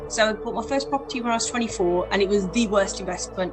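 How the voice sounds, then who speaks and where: A woman's medium-pitched voice with fairly even intonation at a fairly quick pace, over noticeable background noise. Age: 40s. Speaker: mortgage broker. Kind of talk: interview.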